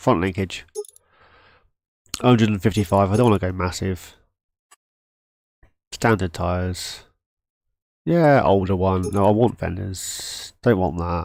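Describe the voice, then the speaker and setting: This man has a British accent and a fairly low pitch. His pitch varies in an ordinary way, and he takes long, frequent pauses. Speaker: gaming streamer. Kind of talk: live gameplay stream chat. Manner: halting; casual.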